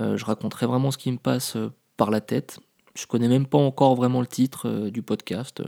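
A man talks at a fairly quick pace with a medium pitch and a dark, mellow tone. His intonation is monotone and flat, and the sound is dry and close with no echo. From Paris, France. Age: 30s. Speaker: podcaster. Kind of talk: casual monologue. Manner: hesitant, many fillers.

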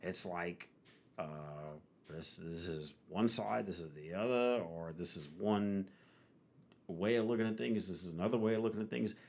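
A man speaks in a very deep, low pitch with ordinary pitch variation. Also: moderate pace. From Louisiana. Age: 40s. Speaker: podcast host. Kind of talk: casual chat.

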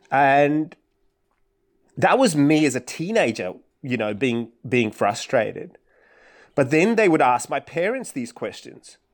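A man with a fairly high pitch speaks at a fairly slow pace, his voice swinging very widely in pitch, with long, frequent pauses. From Kolkata, India. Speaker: author. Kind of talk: casual chat. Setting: video call. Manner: halting.

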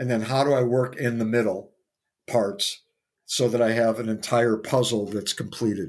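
A man with an American accent speaks at a fairly slow pace in an ordinary speaking voice, medium-pitched, on a very clean recording with a silent background. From US Midwest. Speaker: pinball player. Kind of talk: interview.

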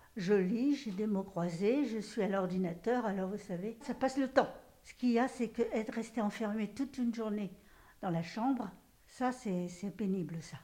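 A woman's fairly high-pitched voice in a dark, mellow tone, with big swings in loudness, ordinary pitch variation and a moderate pace. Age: 80s+. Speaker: nursing home resident. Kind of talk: interview testimony.

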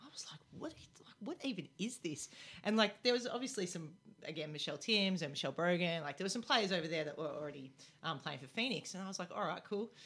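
A woman with an Australian accent and a fairly low pitch talks very fast, her intonation lively. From Melbourne, Australia. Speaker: former professional basketball player. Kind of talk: interview. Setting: radio studio.

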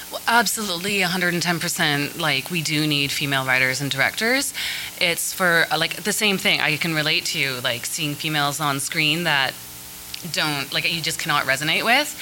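A woman speaks at a moderate pace in a very deep, low pitch with ordinary pitch variation. Noticeable background noise and audible room echo surround her voice. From Canada, Vancouver. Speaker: filmmaker. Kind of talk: panel discussion. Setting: stage with audience.

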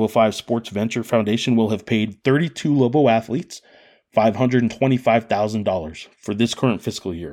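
A normal speaking voice from a man, medium in pitch with ordinary pitch variation, at a moderate pace on a very clean recording with a silent background. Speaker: sports journalist podcast host. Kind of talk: interview.

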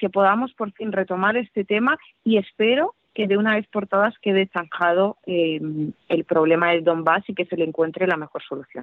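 Her intonation lively, a woman with a Russian accent speaks at a medium pitch. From Siberia, Russia. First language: Russian (speaking Spanish). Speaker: political scientist. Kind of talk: interview.

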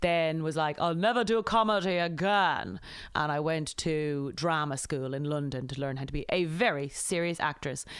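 Speaking in an Irish accent, a woman with a very deep, low pitch talks at a moderate pace with ordinary pitch variation, on a very clean recording with a silent background. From Ireland. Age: 30s. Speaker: comedian. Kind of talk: casual chat. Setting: outdoors.

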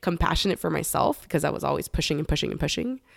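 A Californian accent, in dry, close sound with no echo. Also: woman. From Los Angeles, San Fernando Valley. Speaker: beekeeper and cannabis consultant. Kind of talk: casual interview.

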